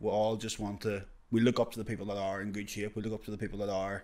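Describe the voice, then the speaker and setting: Fairly low-pitched male speech delivered at a very fast rate. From UK. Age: 20s. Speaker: podcast co-host. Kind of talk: casual chat. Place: studio. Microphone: handheld.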